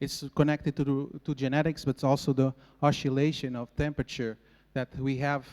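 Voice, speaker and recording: A man with a Portuguese accent, fairly high in pitch, flat and monotone, at a fairly quick pace, in a dry, close sound with no echo. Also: very clean recording, silent background. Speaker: agronomist. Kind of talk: conference presentation. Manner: halting.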